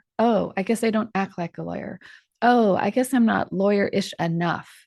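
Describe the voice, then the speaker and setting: A woman speaks at a moderate pace in a plain, everyday voice, her medium pitch following fairly even intonation over a quiet background. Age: 60s. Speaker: trial lawyer, podcast co-host. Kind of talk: live podcast discussion. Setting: studio, live stream.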